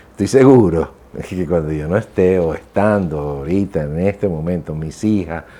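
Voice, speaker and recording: Dark and mellow in tone, a man's voice sits at a very deep, low pitch. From Venezuela. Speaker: voice-over announcer. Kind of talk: interview.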